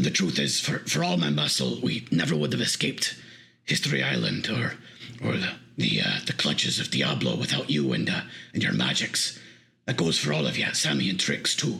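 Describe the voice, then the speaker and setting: In a put-on character voice, a man speaks raspy and very deep, at a moderate pace. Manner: gruff but earnest, apologetic.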